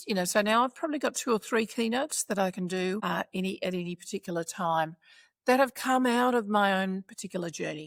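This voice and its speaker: Recorded very cleanly against a silent background, dry and close with no echo, the speaker talks in an Australian accent at a moderate pace with ordinary pitch variation. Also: woman. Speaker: former minister and professional speaker. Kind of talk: interview.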